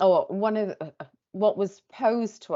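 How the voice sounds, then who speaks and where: The speaker is a woman. She talks with a Welsh accent. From Wales. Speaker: tech company sales presenter. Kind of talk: pitch presentation. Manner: hesitant, many fillers.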